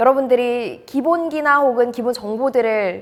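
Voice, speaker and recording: A woman's high-pitched voice at a moderate pace. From North Gyeongsang, Korea. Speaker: announcer coach. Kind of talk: casual talk to camera.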